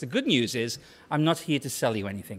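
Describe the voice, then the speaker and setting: A man speaks with a British accent on a very clean recording with a silent background. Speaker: tech company CEO giving conference talk. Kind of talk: conference presentation. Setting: stage with audience. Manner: loud.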